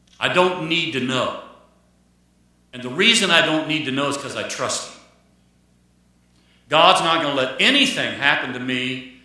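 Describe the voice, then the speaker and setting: A man's voice at a moderate pace, ordinary pitch variation, and audible room echo. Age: 60s. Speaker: pastor. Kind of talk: sermon. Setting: church. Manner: repetitive, restarts phrases.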